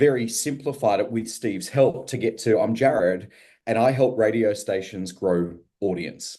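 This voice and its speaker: Against a quiet background, a man with an Australian accent talks at a fairly slow pace and medium pitch, his tone dark and mellow and his intonation lively. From Australia, Melbourne. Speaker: radio business consultant. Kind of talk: testimony.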